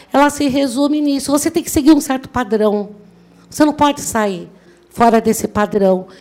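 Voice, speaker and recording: A woman's high, animated voice with ordinary pitch variation. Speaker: motivational speaker, law graduate. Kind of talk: motivational talk.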